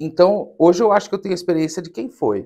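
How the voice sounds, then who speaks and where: A man speaks against a quiet background. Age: 30s. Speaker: documentary film director; interview guest. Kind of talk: interview. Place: studio.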